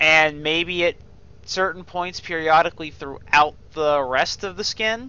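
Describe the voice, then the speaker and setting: A man speaks fairly slowly with high pitch and ordinary pitch variation. His tone is bright and sharp. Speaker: gaming video creator. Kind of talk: gameplay commentary review. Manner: casual, halting with fillers.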